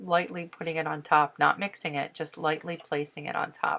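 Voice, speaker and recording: Very deep and low, a woman's voice carries a bright, sharp tone and vocal fry. She speaks at a moderate pace with fairly even intonation. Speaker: painting teacher. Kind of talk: tutorial. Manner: soft-spoken; casual.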